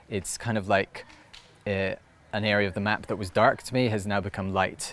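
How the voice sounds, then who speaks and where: A man speaks at a moderate pace with a fairly low pitch and a monotone, flat intonation. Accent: Scottish. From Scotland. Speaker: storyteller. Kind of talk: interview answer. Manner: hesitant, reflective.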